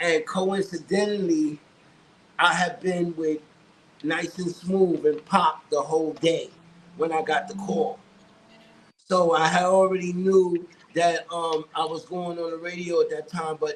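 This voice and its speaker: High in pitch and monotone, flat in intonation, a man speaks at a fairly slow pace with long, frequent pauses. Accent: New York. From New York, the Bronx. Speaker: hip hop writer and former radio DJ. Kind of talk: casual chat.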